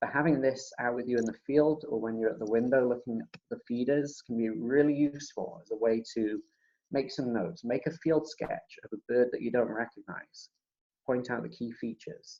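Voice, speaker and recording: Quiet, medium-pitched male voice at a moderate pace with ordinary pitch variation. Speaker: birding workshop facilitator. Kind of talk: online presentation. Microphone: laptop mic at max, too quiet.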